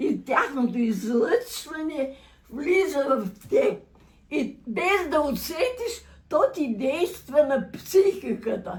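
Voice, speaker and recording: Speaking very slowly, a woman uses a high pitch with very wide swings in it. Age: 80s+. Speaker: centenarian interviewee. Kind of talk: casual chat.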